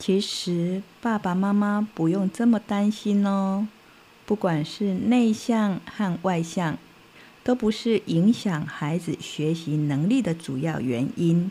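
Very slowly, a woman with a dark, mellow tone and somewhat breathy voice speaks at medium pitch with ordinary pitch variation. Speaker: children's storyteller. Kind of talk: talk to parents. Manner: animated.

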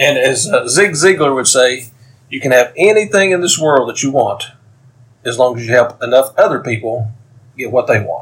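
A man's somewhat breathy, medium-pitched voice in a Tennessee accent, at a fairly quick pace with long, frequent pauses. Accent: Southern American (Tennessee). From US South, East Tennessee (Knoxville). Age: 50s. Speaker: author and military veteran. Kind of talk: interview.

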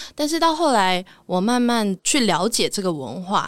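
A woman's pitch swings very widely as she talks at a medium speed. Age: 20s. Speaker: voice actor, podcast guest. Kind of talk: casual interview.

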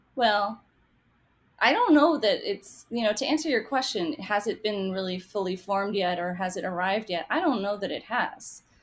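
In an American accent, a woman with an unremarkable speaking voice talks at a moderate pace and a medium pitch. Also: lively intonation. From US, half Taiwanese. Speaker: cookbook author and food writer. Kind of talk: casual interview chat.

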